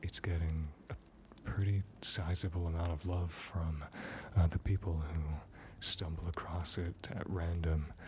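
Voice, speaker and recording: A man whispers at a fairly slow pace. He is soft-spoken and somewhat breathy. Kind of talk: ASMR chat. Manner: whispered, soft-spoken.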